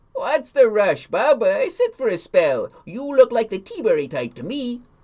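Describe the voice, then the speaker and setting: In a put-on character voice pitched extremely high, a man talks at a moderate tempo. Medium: read story. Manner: folksy, hesitant "uh" fillers.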